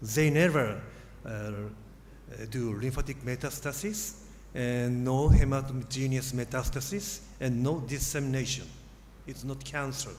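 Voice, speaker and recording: Amid audible room echo, a man speaks at a medium pitch and fairly slow pace with ordinary pitch variation and long, frequent pauses. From Japan. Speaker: surgeon, professor. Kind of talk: lecture. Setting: conference stage with audience.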